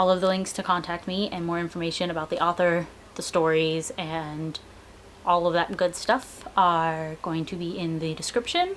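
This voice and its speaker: A woman speaks at a fairly low pitch with fairly even intonation. There is noticeable background noise. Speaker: book reviewer. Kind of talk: casual video review. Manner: casual, hesitant fillers; fast.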